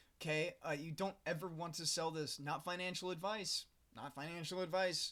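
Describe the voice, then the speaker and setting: A man speaks in a high, bright and sharp voice with flat, monotone intonation. The recording is very clean, with a silent background. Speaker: crypto video host. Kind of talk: casual commentary reading news. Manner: fast.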